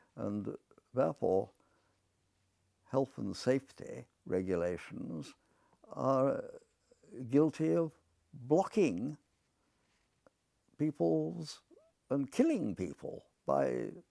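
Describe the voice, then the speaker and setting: Spoken with an English accent at a very slow pace, the voice leaves long, frequent pauses, and the sound is dry and close with no echo. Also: man. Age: 80s+. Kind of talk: monologue to camera. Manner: halting, with frequent fillers.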